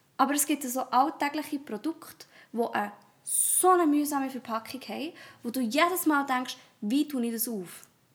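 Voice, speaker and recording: This woman's voice sits high in pitch and moves with ordinary pitch variation. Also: moderate pace. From Switzerland, Thun (Bernese Oberland). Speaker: primary school teacher, podcast co-host. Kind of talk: casual chat. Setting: home office, morning recording.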